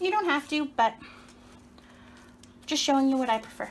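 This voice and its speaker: With a high pitch and lively intonation, a woman is talking. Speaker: cooking demonstrator. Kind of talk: cooking tutorial. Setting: home kitchen. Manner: casual, chatty.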